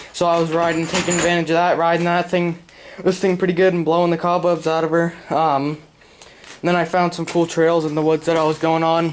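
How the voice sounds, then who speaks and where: A man's high, monotone voice at a fairly quick pace, flat in intonation, over noticeable background noise. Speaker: DIY video creator. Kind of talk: casual tutorial. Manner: casual, filler-heavy.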